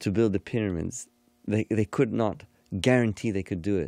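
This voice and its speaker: A man's fairly low, dark, mellow voice with ordinary pitch variation, in a very clean recording with a silent background and a dry, close sound without echo. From Egyptian-Canadian household. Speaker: hypnotherapist and yoga teacher. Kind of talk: casual conversation.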